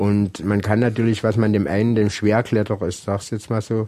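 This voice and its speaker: Here a man speaks in a dark, mellow tone. His intonation is fairly even. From Saxony, Germany (Saxon Switzerland). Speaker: rock climber and climbing instructor. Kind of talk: interview. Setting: at his home.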